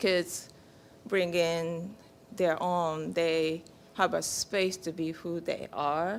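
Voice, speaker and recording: This woman has a fairly low pitch and speaks at a very slow pace. Her intonation stays fairly even. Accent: Japanese. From Japan. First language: Japanese. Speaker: peace camp parent and counselor. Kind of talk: congregation sharing. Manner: halting.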